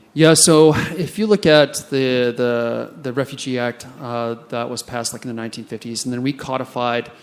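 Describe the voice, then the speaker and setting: With an American accent, a man at a medium pitch talks at a moderate pace with ordinary pitch variation over noticeable background noise. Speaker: immigration enforcement officer and conference panelist. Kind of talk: panel discussion.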